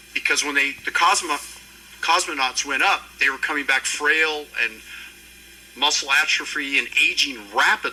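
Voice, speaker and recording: Moderately paced speech from a man, with clear background noise. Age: 70s. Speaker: panel moderator and anti-aging doctor. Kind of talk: expo panel discussion. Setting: stage with audience.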